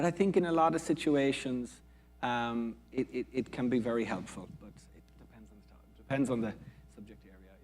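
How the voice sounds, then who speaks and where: Loudness swings widely as a man speaks at medium pitch and a moderate pace. His pitch varies in an ordinary way. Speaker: quantum computing researcher. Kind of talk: panel discussion.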